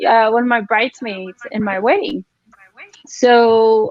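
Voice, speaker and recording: A woman with a Spanish accent talks at a high pitch and a very slow pace. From Mexico, Ciudad Juarez. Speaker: real estate agent. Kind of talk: casual interview.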